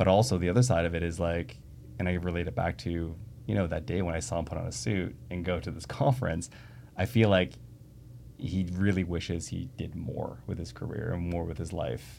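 A man with a very deep, low voice and a dark, mellow tone speaks with a Canadian accent, lively intonation and vocal fry. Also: fairly quick pace. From Canada (Toronto area). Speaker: tech entrepreneur. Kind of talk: casual interview conversation.

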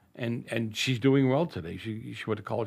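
There is vocal fry in this man's voice. He speaks with an American accent at a moderate pace. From Boston, Massachusetts (North End). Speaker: radio host and school board member. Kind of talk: interview.

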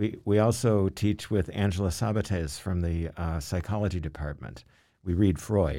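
A man with a very deep, low pitch, a dark, mellow tone and an American accent, at a moderate pace. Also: ordinary pitch variation, very clean recording, silent background. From US South, Louisville, Kentucky. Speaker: retired English professor. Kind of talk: interview conversation.

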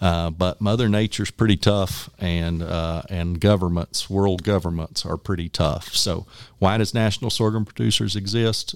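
In a very clean recording with a silent background, a man with a very deep, low pitch speaks at a moderate pace and with fairly even intonation. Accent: West Texas. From Texas Panhandle, Parmer County. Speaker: agricultural trade group executive. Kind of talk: interview.

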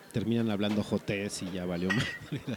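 A man with a Mexican accent, fairly low in pitch, at a moderate pace with ordinary pitch variation. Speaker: podcast host. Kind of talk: casual chat.

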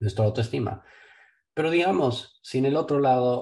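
A man's somewhat breathy voice holds a moderate pace. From Ecuador. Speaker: investment firm owner. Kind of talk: casual interview. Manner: hesitant, with many fillers.

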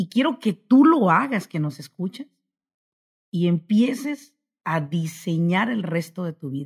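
With a fairly low pitch and a somewhat breathy quality, a woman speaks in an animated tone. Her pace is fairly slow, and her pitch swings very widely. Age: 40s. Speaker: business consultant. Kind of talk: motivational interview talk.

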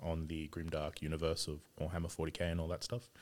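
Speaking with an Australian accent, a man has a very deep, low pitch. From Sydney, Australia. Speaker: game store owner, former MMA fighter. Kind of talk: casual chat.

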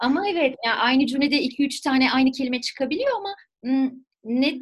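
Speech moves along fairly quickly, its intonation lively. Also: woman. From southern France, near Marseille. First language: French (speaking Turkish). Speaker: French teacher. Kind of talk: casual interview.

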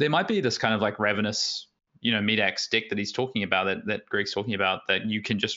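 Fairly low-pitched and with an Australian accent, a man speaks at a very fast pace. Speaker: competitive card game player. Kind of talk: casual interview.

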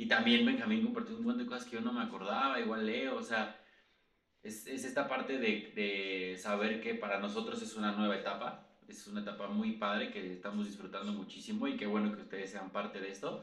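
A man with a Mexico City accent at a fairly quick pace, with noticeable background noise and audible room echo. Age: 30s. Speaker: sales trainer and podcast co-host. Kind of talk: casual chat.

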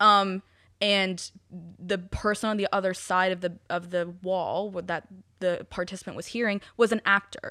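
A woman speaks in a bright, sharp tone with flat, monotone intonation, recorded very cleanly against a silent background. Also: medium pitch for a woman, moderate pace. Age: 20s. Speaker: podcast co-host. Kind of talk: casual chat.

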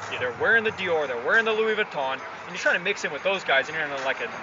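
An American-accented man with very wide pitch swings over noticeable background noise. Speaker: soccer podcast guest host. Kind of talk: casual chat. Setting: bar / coffee house.

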